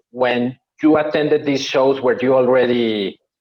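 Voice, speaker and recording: A man's medium-pitched voice with a Spanish accent, at a moderate pace. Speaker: podcast host. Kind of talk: podcast interview. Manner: halting.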